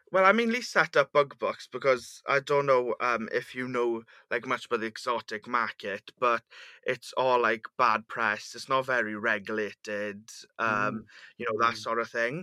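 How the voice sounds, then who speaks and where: A man's medium-pitched, bright, sharp voice with fairly even intonation, in a very clean recording over a silent background. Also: dry, close sound with no echo. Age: 20s. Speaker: insect breeder and business founder. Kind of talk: casual interview.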